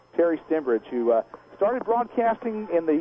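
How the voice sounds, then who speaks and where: With music in the background, a man with a high pitch and a Texan accent races along at a very fast pace in very wide pitch swings. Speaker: radio play-by-play announcer. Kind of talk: live halftime radio interview.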